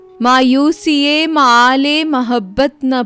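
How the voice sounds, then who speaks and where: A woman speaks in a high-pitched voice. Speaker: voice over artist. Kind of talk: poetry reading. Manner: emotional, melancholy.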